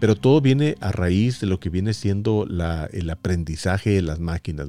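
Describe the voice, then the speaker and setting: A man's very deep, low voice with a dark, mellow tone, moderate pace and ordinary pitch variation, on a very clean recording with a silent background and a dry, close sound with no echo. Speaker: podcast host and voice-over announcer. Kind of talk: solo podcast monologue. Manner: halting, many fillers and repetitions.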